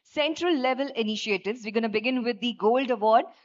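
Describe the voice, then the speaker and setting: A woman's high-pitched voice with an Indian accent, fairly quick in pace, with ordinary pitch variation. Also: quiet background. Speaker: event anchor, master of ceremonies. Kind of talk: live government conference hosting. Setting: PA system, live event hall. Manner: enthusiastic, upbeat. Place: hall. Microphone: podium.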